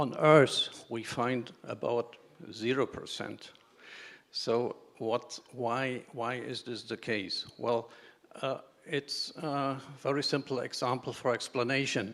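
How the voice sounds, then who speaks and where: A man with a German accent, medium pitch, fairly even intonation and a very slow pace. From Germany. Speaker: engineer, pressure vessel expert. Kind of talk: conference talk. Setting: conference stage. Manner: halting.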